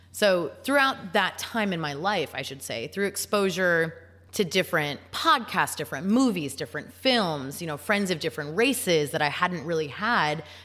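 A woman's voice with very wide pitch swings and a bright, sharp tone. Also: fairly low pitch for a woman, moderate pace. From US Midwest, Chicago suburbs. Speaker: mechanical engineer. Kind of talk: interview.

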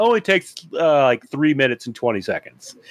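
A man speaks at a fairly quick clip with a plain, everyday voice, pitched fairly high. The sound is dry and close, with no echo. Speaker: remote guest. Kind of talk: casual chat. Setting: remote recording.

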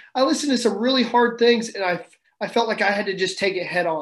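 A man with a Midwestern American accent speaks at a fairly quick pace. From Kansas. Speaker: Marine staff sergeant. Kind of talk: interview testimony.

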